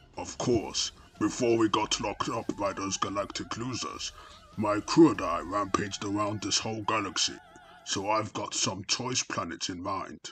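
Putting on a character voice, a man speaks at a moderate pace with clear music in the background. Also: medium pitch for a man. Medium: dub. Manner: casual.

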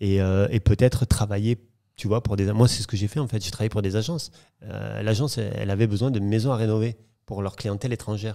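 Speaking at a fairly quick pace, a man has a fairly low pitch. His tone is dark and mellow, with fairly even intonation. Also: quiet background. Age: 40s. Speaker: property dealer; podcast guest. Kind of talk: interview storytelling. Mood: relaxed, storytelling. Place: home room. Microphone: studio mic.

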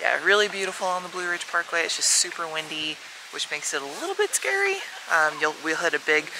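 A woman is speaking in a dry sound with no echo. Noticeable background noise can be heard. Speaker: travel vlogger. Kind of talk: casual vlog chat. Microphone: phone near.

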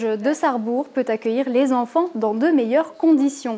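Here a woman talks at a high pitch and a fairly slow pace. Her pitch variation is ordinary. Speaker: news presenter. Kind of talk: news reading, scripted bulletin. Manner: formal, even-paced, neutral; clear, measured, informative.

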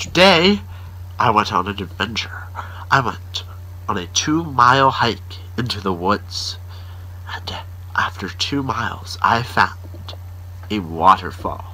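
A man's very deep, low voice at a very slow pace, with long, frequent pauses and ordinary pitch variation. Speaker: daily vlogger. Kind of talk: casual vlog chat. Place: home room. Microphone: phone near.

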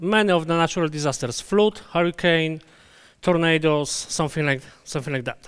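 A man with a Polish accent, high-pitched, at a moderate pace against a quiet background. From Poland. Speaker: database conference speaker; conference presenter. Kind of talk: conference talk; technical lecture. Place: hall.

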